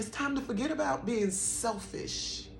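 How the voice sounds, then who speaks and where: A woman's fairly high, fry-tinged voice with lively intonation at a moderate pace, in audible room echo. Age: 50s. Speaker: spiritual vlogger. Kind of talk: personal testimony and spiritual encouragement.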